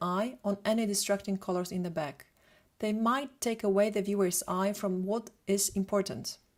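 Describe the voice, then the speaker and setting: This is a woman speaking. She talks with a Polish accent. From Poland. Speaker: photographer and retoucher. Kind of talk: lecture. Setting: live webinar. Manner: fast.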